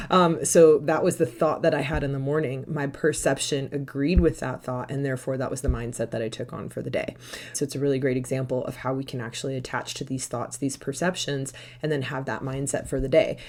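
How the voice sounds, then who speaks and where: Over noticeable background noise, a woman with a very deep, low pitch talks at a fairly quick pace with fairly even intonation. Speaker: mindset coach. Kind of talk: interview. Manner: fast.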